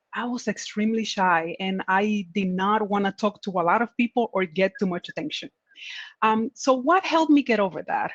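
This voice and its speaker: A woman speaks at a fairly high pitch with ordinary variation and a moderate pace. The sound is dry and close, with no echo. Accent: Spanish. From Dominican Republic. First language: Spanish. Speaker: tech manager. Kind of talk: panel discussion.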